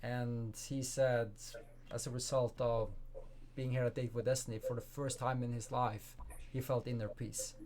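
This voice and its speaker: A man's somewhat breathy, medium-pitched voice in a Norwegian accent, at a fairly slow pace. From Norway. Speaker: life coach and speaker. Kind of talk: interview.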